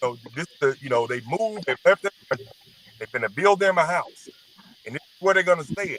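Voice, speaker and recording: Here a man talks fairly quickly with a Southern US accent and a high pitch. The sound is dry and close, with no echo. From Mississippi, US South. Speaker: guest in online discussion. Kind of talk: live stream discussion.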